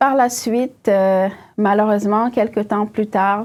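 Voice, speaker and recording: Using fairly even intonation, a woman with a West African accent talks at a fairly slow pace. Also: very clean recording, silent background. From northern Cameroon (Maroua, Douala, Yaoundé). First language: Fula (speaking French). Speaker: tech company CEO. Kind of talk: interview, personal story. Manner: hesitant, many fillers.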